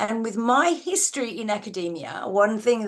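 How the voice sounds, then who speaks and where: At a moderate pace, a woman with an Australian accent speaks at a medium pitch. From Australia, Adelaide. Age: 70s. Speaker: university research educator. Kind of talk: live online seminar discussion. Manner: halting, many restarts.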